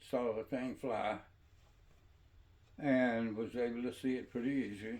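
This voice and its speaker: In a Mississippi accent, a man speaks at a fairly slow pace and medium pitch with monotone, flat intonation. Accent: Southern US, Mississippi. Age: 80s+. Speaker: storyteller. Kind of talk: personal storytelling. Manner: halting.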